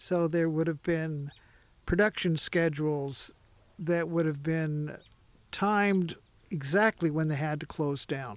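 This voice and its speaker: In a very clean recording with a silent background, a man speaks fairly slowly at a fairly high pitch with fairly even intonation and long, frequent pauses. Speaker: bike shop owner. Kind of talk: interview. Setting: outdoors.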